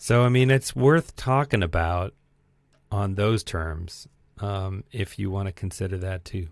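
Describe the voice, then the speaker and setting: A man with an unremarkable speaking voice talks at a fairly slow pace and fairly low pitch with ordinary pitch variation, the sound dry and close with no echo on a very clean recording with a silent background. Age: middle-aged. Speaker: movie podcast host. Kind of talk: casual chat.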